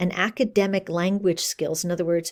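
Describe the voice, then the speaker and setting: A woman speaks at a moderate pace in an ordinary speaking voice, her pitch medium, on a very clean recording with a silent background. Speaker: college instructor. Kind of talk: lecture.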